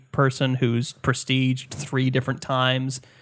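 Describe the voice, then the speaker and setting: Heard on a very clean recording with a silent background, a man with a plain, everyday voice talks at a moderate pace and medium pitch. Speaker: podcast host. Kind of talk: casual chat.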